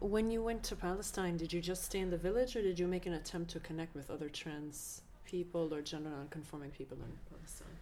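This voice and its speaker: Talking at a very fast pace with hardly any pauses, a woman uses a fairly low, dark, mellow voice with ordinary pitch variation, and the room echo is audible. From Palestinian background. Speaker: oral history interviewer. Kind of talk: oral history interview. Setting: own apartment. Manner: hesitant, many fillers.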